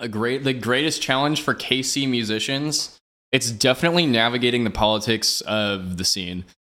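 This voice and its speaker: The voice is bright and sharp, with a Midwestern American accent. It moves at a moderate pace with ordinary pitch variation. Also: man, medium pitch for a man. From Kansas City area (Johnson County, Kansas). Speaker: drum and bass DJ. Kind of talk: casual interview.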